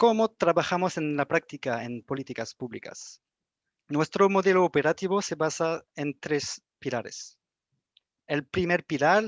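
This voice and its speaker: In a French accent, a man with a fairly high pitch talks at a fairly slow pace with ordinary pitch variation, the sound dry and close with no echo over a quiet background. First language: French (speaking Spanish). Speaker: young engineers association officer. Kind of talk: prepared presentation. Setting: video call.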